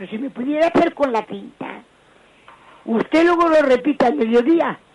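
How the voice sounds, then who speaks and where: Her voice sits high for a woman, with ordinary pitch variation and a moderate pace. Loudness swings widely, and background noise is noticeable. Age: 80s+. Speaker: caller. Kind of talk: phone-in call.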